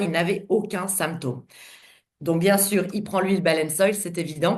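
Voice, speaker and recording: Keeping her intonation fairly even, a woman speaks at medium pitch and a moderate pace. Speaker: doctor presenting to distributors. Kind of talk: online conference presentation.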